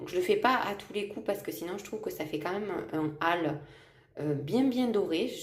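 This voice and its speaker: A woman at a moderate pace. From South of France. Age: 20s. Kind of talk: casual vlog talk to camera.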